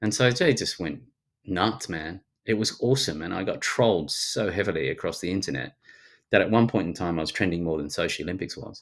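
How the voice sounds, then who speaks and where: A man with a very deep, low voice and a strong Australian accent, at a fairly quick pace with ordinary pitch variation. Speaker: futurist and speaker. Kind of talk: casual interview chat. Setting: video call. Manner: fast talker.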